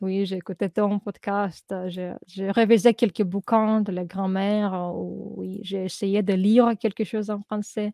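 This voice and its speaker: A woman speaks at a fairly slow pace with hardly any pauses, her medium-pitched voice dark and mellow with monotone, flat intonation. The recording is very clean, with a silent background and a dry, close sound with no echo. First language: Russian (speaking French). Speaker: language learner. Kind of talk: interview. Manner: halting.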